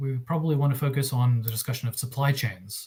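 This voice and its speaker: A man speaks at a fairly quick pace in a medium pitch, his tone dark and mellow. His voice is somewhat breathy, with fairly even intonation. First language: Russian. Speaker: arbitration lawyer. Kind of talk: panel presentation. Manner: hesitant, many fillers.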